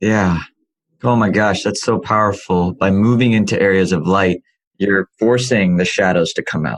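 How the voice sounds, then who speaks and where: Speaking at a moderate pace, a man uses a normal speaking voice with a fairly low pitch, ordinary pitch variation and very even loudness. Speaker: podcast host. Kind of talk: interview question.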